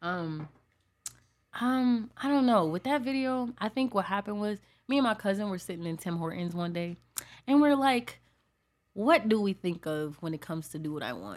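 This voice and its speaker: On a very clean recording with a silent background, a woman with an American accent speaks at a moderate pace, making very wide pitch swings and long, frequent pauses. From Buffalo, New York. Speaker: R and B singer. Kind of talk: casual podcast interview.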